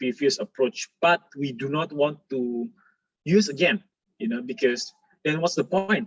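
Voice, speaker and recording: Over a quiet background, a man with a non-native accent speaks with lively intonation. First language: not English. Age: 20s. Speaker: architect. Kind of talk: lecture. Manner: halting, many fillers. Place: home room. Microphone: webcam.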